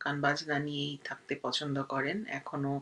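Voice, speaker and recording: The woman's voice has a bright, sharp tone. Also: quiet background. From Bangladesh. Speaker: guest's daughter. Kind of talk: recorded video message.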